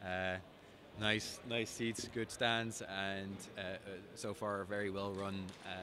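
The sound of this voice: Speaking at a fairly slow pace, a man with a low pitch and a bright, sharp tone shows little pitch movement.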